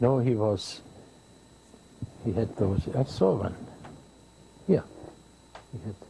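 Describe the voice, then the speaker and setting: Speaking with a German accent, a man uses a fairly low pitch and ordinary pitch variation. His pace is very slow, with long, frequent pauses. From Germany. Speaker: war veteran, former Luftwaffe pilot. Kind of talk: interview answer.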